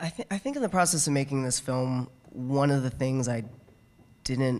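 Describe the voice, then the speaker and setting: A man's speech moves at a moderate pace, and its pitch variation is ordinary. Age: middle-aged. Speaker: film director; panelist. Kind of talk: panel discussion. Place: hall. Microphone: handheld.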